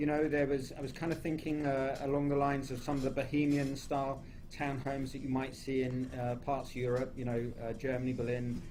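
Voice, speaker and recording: A man's fairly high-pitched voice with a dark, mellow tone amid audible room echo. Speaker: home builder. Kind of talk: radio interview. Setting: radio studio, live broadcast.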